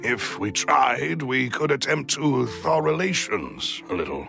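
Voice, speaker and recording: Over clear music in the background, a man uses a put-on character voice at medium pitch, speaking at a fairly slow pace. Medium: game stream. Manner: formal, courteous.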